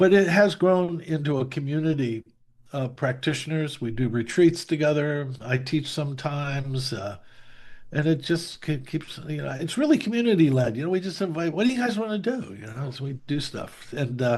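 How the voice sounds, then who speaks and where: A man's fairly high, somewhat breathy voice with lively intonation at a moderate pace. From US Northeast. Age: 70s. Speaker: meditation teacher. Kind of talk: casual interview conversation. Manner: halting, many fillers and restarts.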